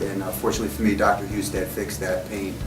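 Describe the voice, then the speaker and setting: Music plays behind a man. He talks at a very fast pace. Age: 40s. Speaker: surgery patient, former ultramarathon runner. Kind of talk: patient testimonial interview. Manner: hesitant, many filler words.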